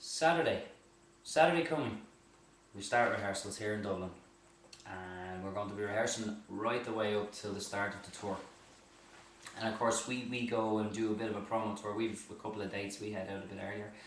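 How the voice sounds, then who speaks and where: A man with a fairly low pitch and ordinary pitch variation talks at a fairly quick pace, yet with long, frequent pauses. Noticeable background noise and audible room echo fill the recording. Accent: Irish. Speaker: singer. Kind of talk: casual chat. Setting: live video stream.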